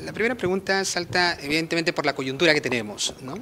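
A man at a fairly quick pace, lively intonation and light background noise. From Peru. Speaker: news reporter. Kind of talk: interview. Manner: formal. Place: office. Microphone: handheld.

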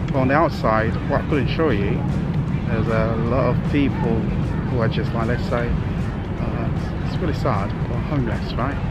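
A man speaks at a fairly slow pace over background music, the sound dry with no echo. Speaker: travel vlogger. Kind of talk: casual vlog chat. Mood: disappointed, reflective. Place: street. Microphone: phone near.

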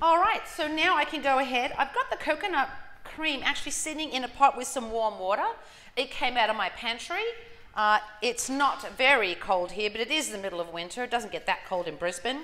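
Her high-pitched voice makes very wide pitch swings as the woman speaks. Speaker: cooking demonstrator. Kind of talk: tutorial. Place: kitchen. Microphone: lapel.

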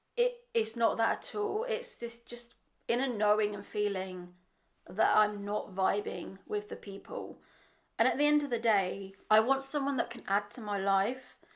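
A woman with an English accent speaks at a fairly slow pace, her pitch fairly high. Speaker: vlogger. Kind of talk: vlog monologue.

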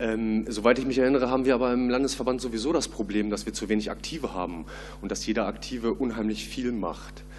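The speaker goes at a very fast pace over light background noise. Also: man, ordinary pitch variation. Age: 30s. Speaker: party board candidate; candidate. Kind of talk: candidate Q&A. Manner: hesitant, many fillers. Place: hall. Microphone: podium.

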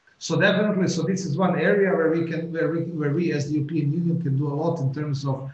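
Audible room echo surrounds a man talking at a fairly quick pace with fairly even intonation. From Croatia. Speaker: politician. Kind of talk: welcome address. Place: office. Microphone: webcam.

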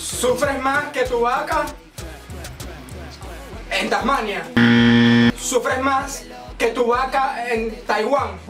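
Over loud background music, a man talks very slowly, leaving long, frequent pauses. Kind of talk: casual banter with a friend. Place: home room.

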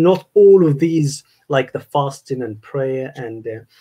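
A man with an Arabic accent speaks at a very slow pace. His tone is dark and mellow over a quiet background. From Egypt. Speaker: university staff member; guest. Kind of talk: casual interview conversation. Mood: calm, explanatory. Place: home room. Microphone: video call.

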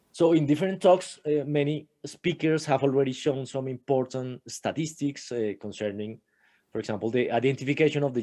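A man's medium-pitched voice, dark and mellow in tone, at a moderate pace with ordinary pitch variation over a quiet background. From Colombia. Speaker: astronomer; remote conference presenter. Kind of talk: conference talk. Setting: remote video call. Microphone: webcam.

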